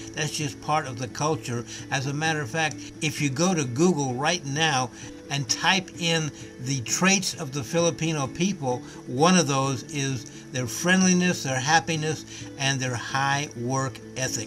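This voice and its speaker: A man with an American accent speaks at a fairly slow pace, his pitch fairly high and its variation ordinary. Music plays in the background. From US South, Nashville, Tennessee. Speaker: company executive. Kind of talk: sales pitch.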